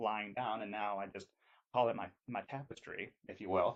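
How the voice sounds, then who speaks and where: With a normal speaking voice, a man talks at a moderate pace and a fairly low pitch, keeping his intonation fairly even. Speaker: voice actor. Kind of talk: casual talk to camera.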